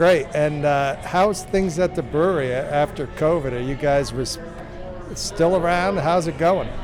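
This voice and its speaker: Music plays behind a man who speaks fairly slowly at a fairly high pitch with ordinary pitch variation, and audible room echo surrounds his voice. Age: 60s. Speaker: podcast host. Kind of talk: on-location interview.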